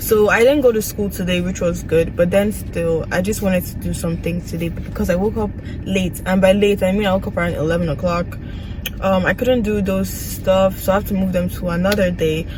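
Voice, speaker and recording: A woman speaks at a medium pitch and a fairly quick pace with fairly even intonation. Noticeable background noise and audible room echo surround her voice. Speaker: nursing student vlogger. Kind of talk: casual vlog.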